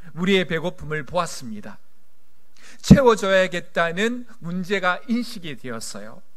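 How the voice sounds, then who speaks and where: A man with a high voice, a fairly slow pace and very wide pitch swings. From South Korea, Gyeongsang region. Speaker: pastor. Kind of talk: sermon. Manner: blunt, reserved delivery.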